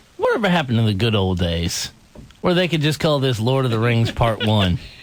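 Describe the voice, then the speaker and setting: Lively in intonation and very even in loudness, a man at medium pitch speaks at a fairly quick pace over noticeable background noise. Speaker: radio host. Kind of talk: heated debate.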